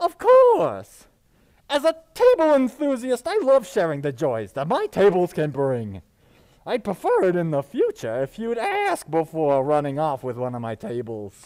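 A man puts on a character voice, pitched high. He keeps to a moderate pace. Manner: friendly, warm, mildly chiding.

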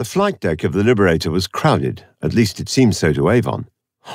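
Quiet surroundings behind a natural reading voice.

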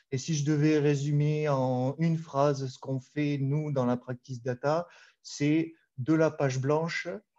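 In a Toulouse accent, a man talks at a fairly slow pace and a fairly high pitch, with a dark, mellow tone and monotone, flat intonation. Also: quiet background. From southern France, Toulouse; southern France. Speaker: data architect, conference speaker; conference speaker. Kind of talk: conference talk. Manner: hesitant, many fillers. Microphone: video call.

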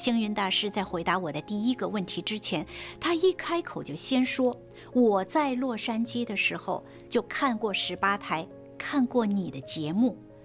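Faint music in the background behind a woman's fairly slow delivery. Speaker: TV host. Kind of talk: host introduction to camera. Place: studio. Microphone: lapel.

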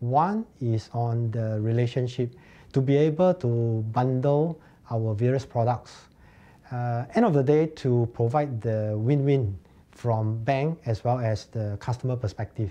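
The man's tone is dark and mellow, and he speaks at a fairly slow pace. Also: ordinary pitch variation. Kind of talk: interview answer. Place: office.

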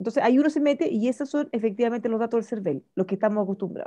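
A woman speaks with lively intonation in a dark, mellow tone. The sound is dry and close with no echo, against a quiet background. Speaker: radio host. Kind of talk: casual chat.

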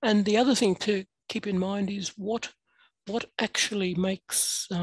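A woman speaks with an Australian accent, somewhat breathy and with fairly even intonation. The background is quiet and the sound is dry with no echo. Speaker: adjunct professor. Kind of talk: workshop talk. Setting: video call. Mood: earnest, reflective. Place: home room. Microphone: headset.

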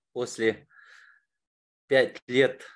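A man is speaking. The background is quiet. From Kazakhstan, Almaty. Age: 40s. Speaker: course participant. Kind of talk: testimony. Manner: halting. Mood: warm, smiling, upbeat. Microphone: webcam.

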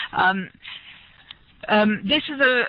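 A woman with a French accent uses ordinary pitch variation, her voice dry with no echo. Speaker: researcher. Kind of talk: lecture. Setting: video call. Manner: halting. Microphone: headset.

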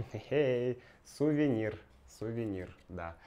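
Someone talks very slowly while noticeable background noise continues behind the voice. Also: man. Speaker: language teacher vlogger; Russian language teacher vlogger. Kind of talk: casual vlog; casual vlog chat. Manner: soft-spoken, quiet; halting with fillers. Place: home room. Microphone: lapel.

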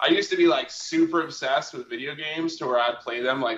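The intonation is fairly even. A man speaks in a bright, sharp tone. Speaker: guest. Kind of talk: interview answer. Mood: relaxed, joking. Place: home room. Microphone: video call.

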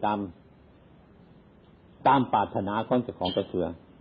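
A man speaks with an Isan accent. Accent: Isan (Northeastern Thai). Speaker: Buddhist monk. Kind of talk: Dharma sermon.

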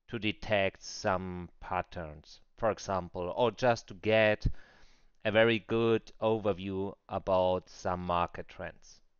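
Very slowly, a man talks with a non-native accent. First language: non-native English speaker. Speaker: crypto trader. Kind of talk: screen-recorded software tutorial.

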